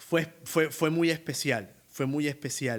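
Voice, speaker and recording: A man speaks in an animated tone with a strong Colombian Caribbean accent. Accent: costeño Colombian Spanish, strong. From Colombian Caribbean coast, Barranquilla. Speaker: opera tenor. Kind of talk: interview.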